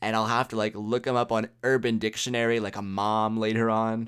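In a very clean recording with a silent background, a man with a plain, everyday voice speaks at medium pitch and a moderate pace. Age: 20s. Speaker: solo podcaster. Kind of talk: casual monologue.

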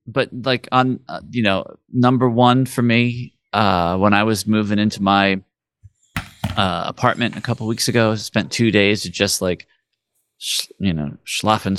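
Against a quiet background, a man with an unremarkable speaking voice talks at a fairly low pitch with ordinary pitch variation. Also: dry, close sound with no echo. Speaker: podcast co-host. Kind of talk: casual chat.

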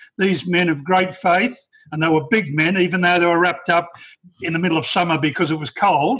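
A man talks with an Australian accent and a high-pitched voice. His intonation stays fairly even. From rural Australia. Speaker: participant. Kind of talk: casual discussion.

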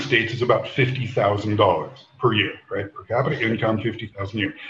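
A man with a normal speaking voice talks at a moderate pace, his pitch varying in an ordinary way. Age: 50s. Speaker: former tech executive. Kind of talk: casual chat.

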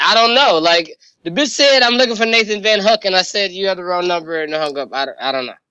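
A man's raised, projected voice, high in pitch, with very wide pitch swings, a bright, sharp tone and a fairly quick pace. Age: 20s. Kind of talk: casual chat.

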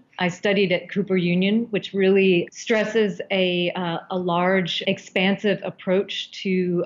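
Here is a plain, everyday voice with an American accent. The pace is fairly slow. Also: woman. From US, Baltimore. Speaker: artist. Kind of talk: interview.

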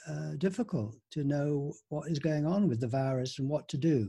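Somewhat breathy, this man's voice sits at a fairly high pitch with a dark, mellow tone and ordinary pitch variation. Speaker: group discussion host. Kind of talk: online group discussion. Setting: video call. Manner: warm, encouraging.

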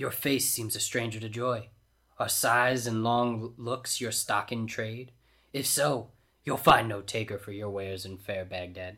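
A man's gruff, booming put-on character voice at medium pitch and moderate pace, on a very clean recording with a silent background. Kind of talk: comic overacting. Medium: read story. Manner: jovial, poetic, booming laughter.

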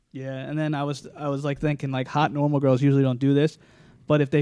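A man's dark, mellow voice, fairly high in pitch, in a monotone, flat delivery at a very fast pace. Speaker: podcast co-host. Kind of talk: casual chat. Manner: loud.

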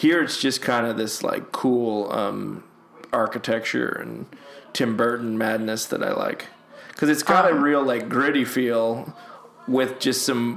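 Noticeable background noise and audible room echo surround a man's voice. He talks at a fairly slow pace, medium in pitch, with fairly even intonation. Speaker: podcast host, movie commentary. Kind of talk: casual chat, film commentary. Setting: at home.

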